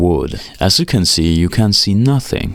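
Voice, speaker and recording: A man talks with a non-native accent. He keeps a fairly slow pace. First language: not English. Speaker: guitar gear reviewer. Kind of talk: tutorial voice-over. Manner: casual.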